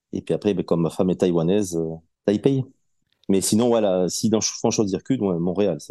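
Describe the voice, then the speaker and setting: A man's very deep, low voice with a southwestern French accent, dark and mellow in tone, with ordinary pitch variation and a fairly quick pace. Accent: southwest French. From southwest France. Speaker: podcast guest, collector gamer. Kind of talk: interview.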